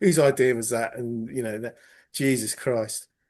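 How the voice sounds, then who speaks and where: A man speaks with an English accent. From England. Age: 50s. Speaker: podcast panelist. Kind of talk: casual chat.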